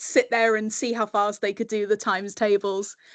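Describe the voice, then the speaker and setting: A woman with a British accent against a quiet background. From UK. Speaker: communications professional and webinar speaker. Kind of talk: webinar presentation.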